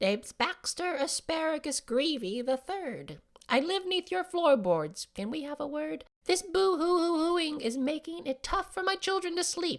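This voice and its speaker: The voice is a put-on character voice, high-pitched and squeaky. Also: moderate pace. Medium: read story.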